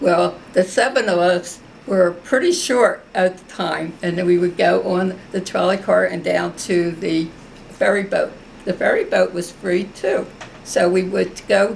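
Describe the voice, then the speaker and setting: Over noticeable background noise, a woman talks with a Philadelphia accent. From US Northeast, South Philadelphia. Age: 90s. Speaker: war veteran. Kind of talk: oral history interview.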